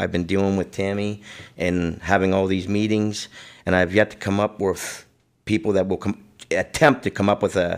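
A man with a normal speaking voice talks at a fairly low pitch and moderate pace. His intonation is fairly even, and the background is quiet. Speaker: guest. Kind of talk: interview answer. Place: studio.

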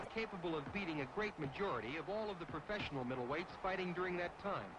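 There is noticeable background noise behind the speaker. He is a man with a high pitch. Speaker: boxing newsreel narrator. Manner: fast, urgent, excitable.

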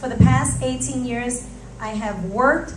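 Noticeable background noise accompanies a woman speaking at a fairly slow pace. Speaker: city council candidate, business owner; council candidate. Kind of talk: candidate opening statement. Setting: church hall with audience. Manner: formal. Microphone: podium.

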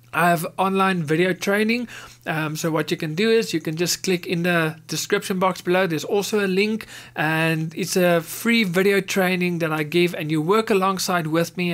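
A man with a high pitch and fairly even intonation speaks at a moderate pace. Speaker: animation tutorial creator. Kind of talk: tutorial. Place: home room. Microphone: studio mic.

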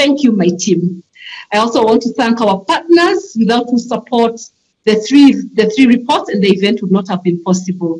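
A somewhat breathy woman's voice at a moderate pace with lively intonation. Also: fairly high pitch for a woman. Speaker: conference chair; webinar moderator. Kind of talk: formal conference moderating. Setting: online conference. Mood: warm, gracious. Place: home room. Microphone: video call.

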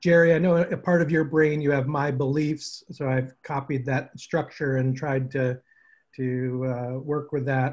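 Against a quiet background, a man talks in a somewhat breathy voice with fairly even intonation. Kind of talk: check-in update on a group call. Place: home room. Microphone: video call.

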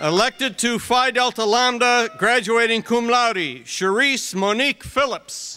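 A man uses a raised, projected voice at an extremely high pitch, speaking fairly slowly. His loudness stays very even and his intonation fairly even. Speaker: dean reading graduate names; commencement name reader. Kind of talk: reading names aloud at graduation. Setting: stage with audience. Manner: steady, measured. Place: stage.

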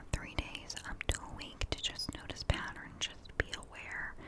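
Whispering and soft-spoken at a moderate pace, the speaker is heard against loud background noise. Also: woman. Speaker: ASMR or wellness creator. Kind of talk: soft casual talk on mental health. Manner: close, soft ASMR whisper. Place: home room. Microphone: studio mic.

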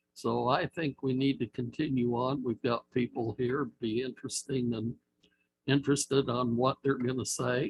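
A man with a somewhat breathy, medium-pitched voice talks at a moderate pace in a monotone, flat intonation. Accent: American. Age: 70s. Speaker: planning commissioner. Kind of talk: public meeting discussion.

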